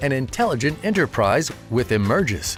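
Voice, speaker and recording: A man's voice with very wide pitch swings, music in the background. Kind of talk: corporate promo narration.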